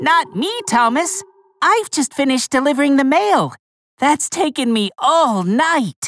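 Fairly slow pace from a put-on character voice. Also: female-sounding voice, high pitch for a woman. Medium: read story. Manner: friendly, chirpy.

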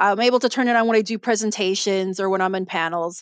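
Talking at a very fast pace, a woman with a Chicago accent shows ordinary pitch variation. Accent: Chicago American English. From Chicago, US Midwest. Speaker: mystery author. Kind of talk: casual interview chat.

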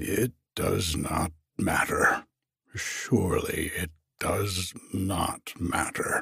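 A man's put-on character voice, very deep and low, delivered at a very slow pace. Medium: read story. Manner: low, grave and deferential.

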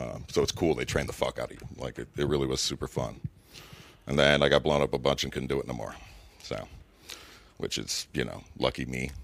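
Talking at a fairly quick pace yet with long, frequent pauses, a man uses a very deep, low pitch with vocal fry and monotone, flat intonation. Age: 30s. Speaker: former Green Beret and comedian. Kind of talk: casual chat.

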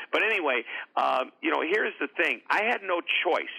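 At a moderate pace, a man with an American accent speaks with vocal fry. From US Midwest, St. Louis, Missouri. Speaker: author and motivational speaker. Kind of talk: interview.

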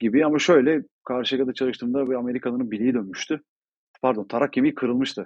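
A man's medium-pitched voice holds fairly even intonation while racing at a very fast pace. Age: 30s. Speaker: athletic performance coach. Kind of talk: casual chat.

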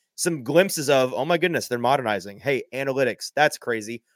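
In an ordinary speaking voice, a man talks at a fairly quick pace with ordinary pitch variation, the sound dry and close with no echo. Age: young. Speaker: sports podcaster. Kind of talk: casual live sports talk.

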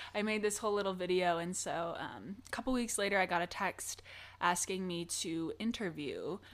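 Speaking at a moderate pace and medium pitch, a woman has an ordinary speaking voice with ordinary pitch variation. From Michigan. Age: 20s. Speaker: actor. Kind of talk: casual interview.

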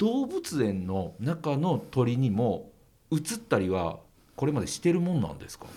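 This voice belongs to a man. It has a dark, mellow tone. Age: 40s. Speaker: podcast host. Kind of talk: podcast interview.

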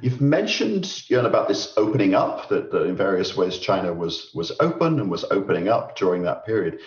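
Over noticeable background noise, a man speaks at a fairly quick pace with hardly any pauses. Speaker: podcast host and professor. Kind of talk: interview. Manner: formal.

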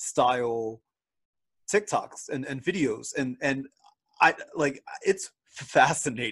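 The speaker has a Philadelphia accent and lively intonation. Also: man. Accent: Philadelphia-area American. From Philadelphia area, US. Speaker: podcast host. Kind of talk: casual interview chat.

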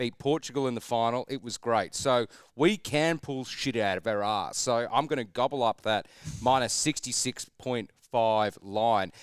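A man with an Australian accent speaks at a moderate pace, his medium-pitched voice showing ordinary pitch variation. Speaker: sports betting podcast co-host. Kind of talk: casual banter.

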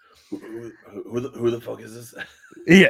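A man puts on a raspy character voice. It sits at a medium pitch. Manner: blunt, questioning.

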